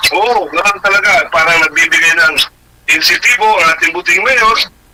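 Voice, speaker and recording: A man speaks in a raised, projected voice at a moderate pace. Noticeable background noise is present. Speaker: radio co-host. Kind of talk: casual radio talk. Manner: loud.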